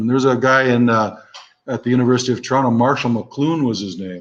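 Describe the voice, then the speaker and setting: A man speaks with a Canadian accent and ordinary pitch variation. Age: 60s. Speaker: instructor. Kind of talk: lecture. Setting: live online broadcast. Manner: halting.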